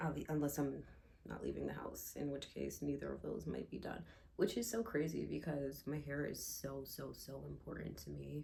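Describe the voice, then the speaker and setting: At a moderate pace, the voice has a calm tone with audible room echo. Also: woman. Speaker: lifestyle vlogger. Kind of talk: casual chat. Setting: at home, bathroom. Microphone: echo in the room.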